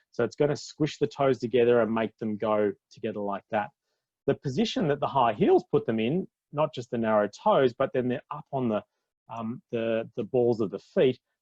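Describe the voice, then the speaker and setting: An Australian accent marks this man's speech, his pitch medium with ordinary variation. The sound is dry and close, with no echo. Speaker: physiotherapist. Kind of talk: webinar presentation. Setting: live online broadcast. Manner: fast; animated.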